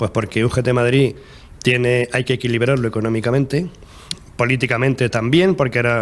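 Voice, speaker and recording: Here a man uses an ordinary speaking voice at a medium pitch, moving at a fairly quick pace. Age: 60s. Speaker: trade union leader. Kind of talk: TV interview.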